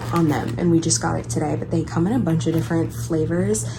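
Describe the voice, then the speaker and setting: Noticeable background noise and audible room echo around a woman talking at a fairly quick pace. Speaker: lifestyle vlogger. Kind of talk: casual vlog talk to camera. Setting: at home in apartment. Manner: whispering at times.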